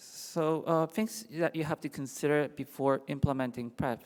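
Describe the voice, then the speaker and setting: A man speaks with a Japanese accent at a fairly slow pace. His pitch varies in an ordinary way on a very clean recording with a silent background. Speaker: infectious disease doctor. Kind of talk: conference lecture. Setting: symposium stage with audience.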